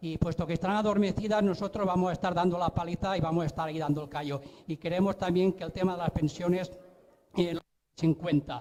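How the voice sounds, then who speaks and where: A man with a high voice rattles off his words very fast, his intonation fairly even. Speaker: audience member, pensioner activist. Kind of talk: audience question at political event. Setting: public political event.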